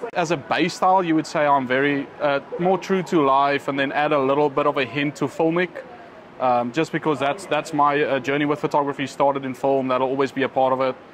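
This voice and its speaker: Noticeable background noise runs throughout. Over it, a man speaks very fast. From South Africa, Cape Town area. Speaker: wedding photographer. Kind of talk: casual interview. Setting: restaurant.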